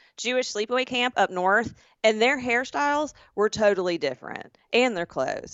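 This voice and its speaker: A woman talks with a Southern US accent. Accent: Southern drawl. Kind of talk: casual podcast conversation.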